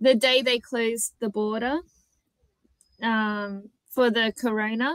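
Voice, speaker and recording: Very slow speech from a woman with an Australian accent, fairly high in pitch, with fairly even intonation and a dry, close sound with no echo. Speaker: conversation partner on language app. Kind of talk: casual chat.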